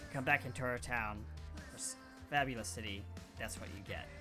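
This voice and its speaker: A man's gruff, put-on character voice, fairly low in pitch and fairly quick in pace, over loud music in the background. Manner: taunting, boastful.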